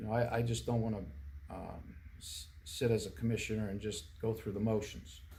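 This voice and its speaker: A man's dark, mellow tone, fairly low with vocal fry, ordinary pitch variation and a moderate pace, in audible room echo. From central Pennsylvania, US. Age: 60s. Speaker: political candidate. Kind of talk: interview. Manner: halting, many fillers and restarts.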